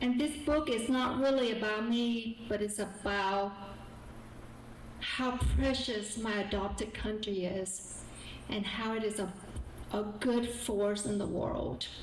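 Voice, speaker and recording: A woman's fairly high voice in a Southern US accent, very slow with long, frequent pauses, fairly even intonation, audible room echo and noticeable background noise. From South Vietnam. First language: Vietnamese. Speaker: guest speaker and author. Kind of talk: public talk.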